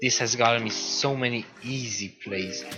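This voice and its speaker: Music plays in the background behind a man's voice. His pitch variation is ordinary. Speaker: gamer, tutorial maker. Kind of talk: game tutorial voice-over. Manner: casual.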